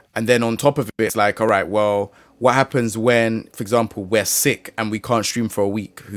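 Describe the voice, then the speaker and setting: Captured in a very clean recording with a silent background and a dry, close sound with no echo, a man with a London accent speaks at medium pitch. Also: moderate pace, hardly any pauses. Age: 30s. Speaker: gaming content creator. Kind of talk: casual chat.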